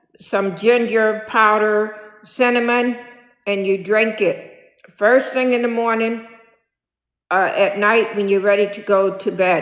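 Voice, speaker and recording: Fairly high in pitch, a woman speaks at a fairly slow pace with long, frequent pauses and fairly even intonation. Audible room echo surrounds her voice. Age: 60s. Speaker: senior lifestyle vlogger. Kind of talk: casual vlog monologue. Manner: repetitive, filler-heavy.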